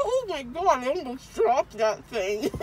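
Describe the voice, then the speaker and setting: In a tearful tone, a woman speaks at a high pitch and a fairly slow pace, with a dry sound and no echo but noticeable background noise. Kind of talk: casual dazed chat. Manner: groggy, numb-mouthed, tearful speech. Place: car.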